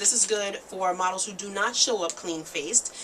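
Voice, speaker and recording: Noticeable noise can be heard in the background. Over it, a woman talks with ordinary variation in her pitch. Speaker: makeup artist and beauty vlogger. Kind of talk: tutorial. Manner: fast; casual.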